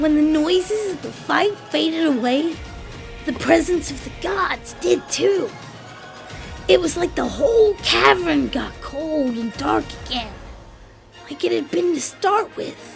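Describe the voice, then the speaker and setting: Over clear background music, a woman performs a put-on character voice. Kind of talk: read story. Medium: read story.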